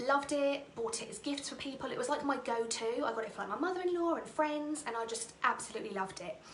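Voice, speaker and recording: A woman with a Norfolk accent speaks with lively intonation amid noticeable background noise and audible room echo. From England, Norfolk. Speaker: theatre school owner and direct sales director. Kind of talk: personal testimony talk on a livestream.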